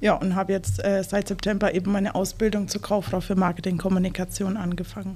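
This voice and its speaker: Noticeable background noise runs under this clip. A woman at a medium pitch talks at a fairly quick pace with monotone, flat intonation. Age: 20s. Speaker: trainee. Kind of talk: casual interview.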